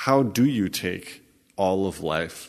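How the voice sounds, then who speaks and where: The background is quiet. A man speaks with a very deep, low pitch. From United States. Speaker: podcast host. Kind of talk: interview.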